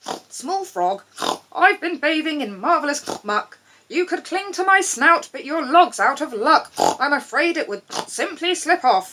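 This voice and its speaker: A woman adopts a put-on character voice, pitched extremely high and swinging very widely up and down. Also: moderate pace. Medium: read story. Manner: sniffy.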